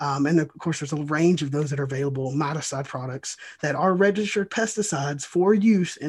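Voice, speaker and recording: A somewhat breathy man's voice, fairly high in pitch, on a very clean recording with a silent background. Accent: American. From US South, Georgia. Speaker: state bee inspector. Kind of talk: interview. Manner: animated.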